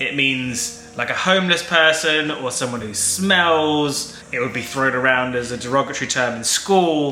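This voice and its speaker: Music plays behind a man speaking at a moderate pace. His voice is fairly high, with ordinary pitch variation. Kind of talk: casual talk to camera.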